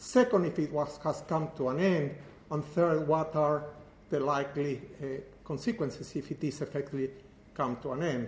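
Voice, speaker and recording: Someone with a Spanish accent speaks at a moderate pace with ordinary pitch variation and long, frequent pauses. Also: man, fairly high pitch for a man. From Uruguay. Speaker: professor. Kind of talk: lecture.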